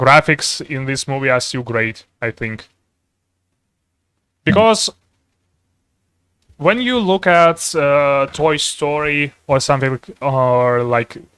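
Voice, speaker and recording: A man's bright, sharp tone at a very slow pace, with long, frequent pauses and a dry, close sound free of echo. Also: ordinary pitch variation. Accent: non-native. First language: not English. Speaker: streamer and artist. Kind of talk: casual chat. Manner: halting, many fillers.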